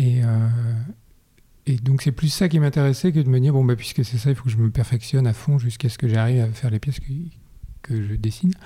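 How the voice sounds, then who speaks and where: A man's dark, mellow voice at medium pitch, with ordinary pitch variation and a fairly quick pace. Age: 40s. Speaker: ceramist and art director. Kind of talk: interview. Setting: at his home. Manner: halting.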